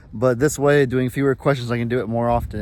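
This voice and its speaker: A very fast pace over noticeable background noise. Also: man. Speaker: farming vlogger. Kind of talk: casual vlog Q&A. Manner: fast outro.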